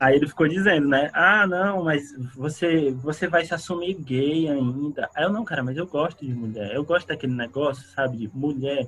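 Hardly pausing, a man speaks at a moderate pace. His pitch is fairly high, with ordinary variation. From Ceará, northeastern Brazil (Fortaleza). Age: 20s. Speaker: psychology student and psychoanalyst. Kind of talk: casual chat.

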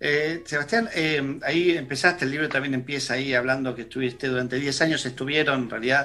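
With a Rioplatense accent, a man speaks at a fairly quick pace. His pitch is fairly high and his intonation fairly even. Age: 40s. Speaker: radio co-host. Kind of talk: casual chat.

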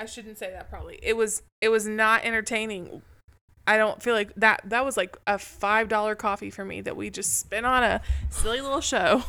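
A woman's fairly high, bright, sharp voice at a moderate pace with fairly even intonation, on a very clean recording with a silent background. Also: big swings in loudness. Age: 20s. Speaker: podcast co-host. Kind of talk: casual chat.

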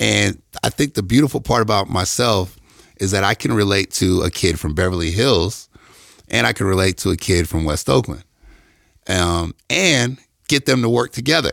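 With an American accent, a man talks at a moderate pace in a very deep, low pitch with vocal fry and lively intonation, the sound dry and close with no echo on a very clean recording against a silent background. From US Midwest, Detroit. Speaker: athletic trainer. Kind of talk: casual chat. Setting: studio.

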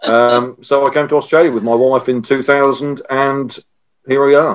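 A man with a normal speaking voice holds a medium pitch and fairly even intonation. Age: 50s. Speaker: software strategist. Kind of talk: interview.

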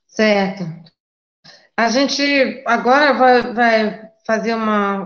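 A woman with a fairly high voice talks at a very slow pace, with long, frequent pauses, fairly even intonation, and audible room echo. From Brazil, Rio de Janeiro. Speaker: party spokesperson, moderator. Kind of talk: moderating online debate.

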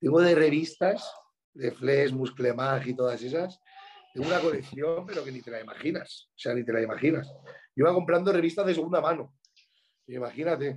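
This man speaks fairly quickly in a fairly high pitch, with ordinary pitch variation and big swings in loudness. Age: 30s. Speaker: bodybuilder and coach. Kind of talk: casual chat.

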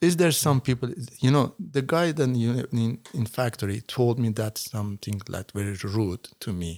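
A man with a Persian accent speaks at a moderate pace and a medium pitch, his intonation lively. The recording is very clean, with a silent background. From Iran. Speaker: author. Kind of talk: interview. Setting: studio. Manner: halting.

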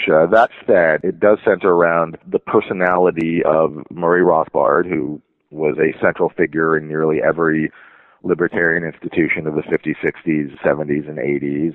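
This man speaks at a moderate pace in a very deep, low voice with fairly even intonation. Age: 40s. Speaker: journalist and author. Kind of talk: interview conversation.

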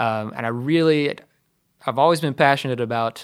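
At a moderate pace, a man with an American accent and a plain, everyday voice shows ordinary pitch variation in a very clean recording with a silent background. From US, rural. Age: 30s. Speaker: blues guitarist and DJ. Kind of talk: interview.

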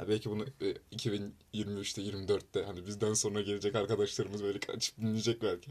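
A man talks at a moderate pace with hardly any pauses. His fairly low voice stays monotone and flat. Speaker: university student club podcast host. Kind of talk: casual chat.

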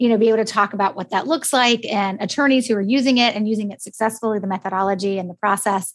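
Over a quiet background, a woman with an American accent speaks at a very fast pace. Her medium pitch shows ordinary variation. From United States. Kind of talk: podcast interview.

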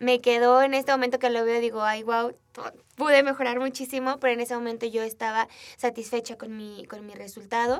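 A woman speaks in a central Mexican accent at a high pitch and a fairly quick pace. Her intonation is monotone and flat, with big swings in loudness. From Mexico, Aguascalientes. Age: 20s. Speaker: photographer and entrepreneur. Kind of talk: interview.

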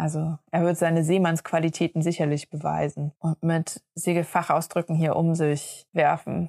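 A woman speaks at a moderate pace in a fairly low voice, flat and monotone, with very even loudness and hardly any pauses, recorded very cleanly against a silent background with a dry, close sound and no echo. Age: 30s. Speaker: sailing podcast co-host. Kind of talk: casual chat.

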